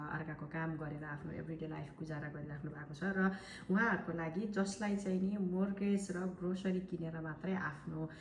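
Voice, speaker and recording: A woman talks with fairly even intonation, and audible room echo surrounds her voice. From Nepal. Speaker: online marketer. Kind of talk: sales pitch. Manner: hesitant fillers.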